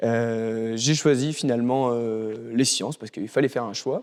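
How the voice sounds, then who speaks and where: A man speaks at medium pitch and a moderate pace. The recording is very clean with a silent background. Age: 20s. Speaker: PhD student and chemical engineer. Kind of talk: interview. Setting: school library. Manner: hesitant, many filler sounds.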